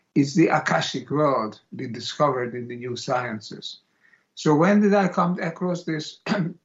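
With a Hungarian accent, a man speaks at a moderate pace in a fairly high, somewhat breathy voice with lively intonation. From Hungary. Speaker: philosopher and author. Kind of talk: interview. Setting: remote call.

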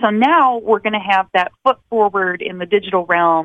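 A woman speaks with a Michigan accent, her pitch fairly high. Her intonation is lively and her pace moderate. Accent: Midwestern American (Michigan). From Michigan, outside Detroit. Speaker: TV music show host. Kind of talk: interview.

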